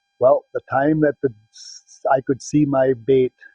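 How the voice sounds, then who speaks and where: A man with a Wisconsin accent and a medium pitch speaks at a moderate pace in a somewhat breathy voice. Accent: Upper Midwest (Wisconsin) American. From Wisconsin, Green Bay area. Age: 60s. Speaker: hunter. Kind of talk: interview testimony. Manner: casual, halting with fillers.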